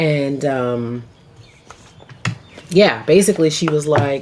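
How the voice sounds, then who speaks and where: A woman's very deep, low voice at a fairly slow pace with ordinary pitch variation amid noticeable background noise. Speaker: tarot reader. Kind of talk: casual tarot reading. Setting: home, on camera. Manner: animated.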